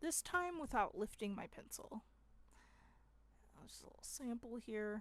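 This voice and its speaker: The speaker's voice has vocal fry and lively intonation. The pace is fairly slow. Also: woman. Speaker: art teacher. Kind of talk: drawing demonstration. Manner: casual.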